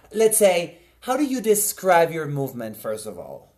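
Very wide pitch swings mark this man's speech in a Spanish accent. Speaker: podcast host, dancer. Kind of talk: casual interview.

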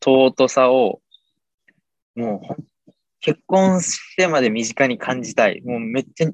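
A man with a medium-pitched voice talks very slowly, his pitch rising and falling normally between long, frequent pauses. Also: dry, close sound with no echo. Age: 20s. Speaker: podcaster and father of two. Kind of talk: casual chat.

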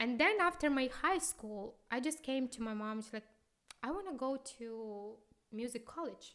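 Speaking at a moderate pace, a woman uses a high-pitched voice with lively intonation. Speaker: opera singer. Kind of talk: interview conversation. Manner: halting, searching for words.

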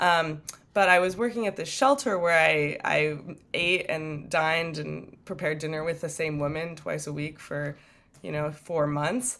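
A woman's very deep, low voice with a Californian accent, ordinary pitch variation and a moderate pace. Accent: Californian American. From US West Coast, San Francisco Bay Area. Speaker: non-profit director. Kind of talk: interview.

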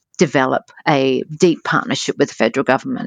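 A woman speaks with an Australian accent against a quiet background, her voice dry and close with no echo. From Australia, Adelaide. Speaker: foundation CEO. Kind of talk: interview.

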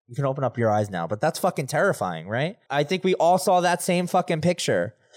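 Animated man with vocal fry and lively intonation at a fairly quick pace, on a very clean recording with a silent background. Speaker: true crime podcast host. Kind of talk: true crime storytelling podcast; guided visualization, telling listeners to close their eyes. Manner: animated, excitable, emphatic and direct, addressing listeners.

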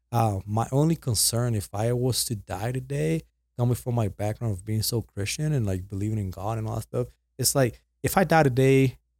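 A somewhat breathy man, talking at a fairly quick pace. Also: medium pitch for a man, ordinary pitch variation, very clean recording, silent background. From Puerto Rico. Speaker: podcast guest. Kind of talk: casual chat.

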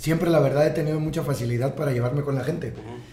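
A man's fairly high-pitched voice with fairly even intonation and audible room echo. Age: 30s. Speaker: entrepreneur. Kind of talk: casual chat. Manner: halting.

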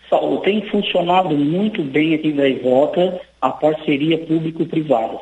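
Noticeable background noise accompanies a man with a fairly high pitch. He talks at a fairly slow pace with ordinary pitch variation. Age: 40s. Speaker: city council president. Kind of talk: radio interview. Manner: halting, many fillers.

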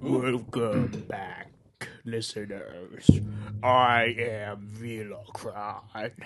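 Speaking very slowly, a man uses a put-on character voice. His pitch sits in the medium range. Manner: ominous.

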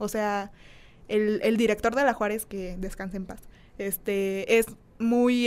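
A woman with a plain, everyday voice speaks at a fairly slow pace, her fairly high pitch held in fairly even intonation. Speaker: content creator. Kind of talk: casual chat.

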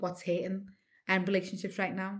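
A woman with a Liverpool accent. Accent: Scouse (Liverpool). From Liverpool, England (Nigerian heritage). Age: 40s. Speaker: radio host. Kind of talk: casual interview chat.

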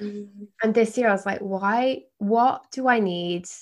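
A woman talks in an unremarkable speaking voice with fairly even intonation. Her voice sits at a medium pitch. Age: 30s. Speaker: yoga teacher and life coach. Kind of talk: casual interview chat.

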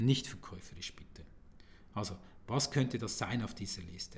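A man at a moderate pace, medium pitch, ordinary pitch variation and a somewhat breathy quality. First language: Swiss German (speaking German). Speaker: sales and video marketing coach. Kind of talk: solo podcast monologue.

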